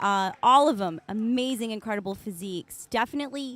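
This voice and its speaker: A woman with an American accent speaks using lively intonation. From Florida. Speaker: live stream commentator. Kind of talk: live commentary. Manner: soft-spoken.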